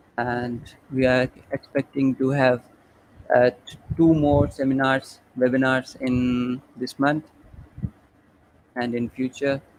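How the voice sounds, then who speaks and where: With noticeable background noise but a dry, close sound free of echo, a man speaks very slowly in a flat monotone, leaving long, frequent pauses. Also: medium pitch for a man, big swings in loudness. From Pakistan. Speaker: webinar organizer and moderator. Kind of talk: webinar closing remarks. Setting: live online webinar.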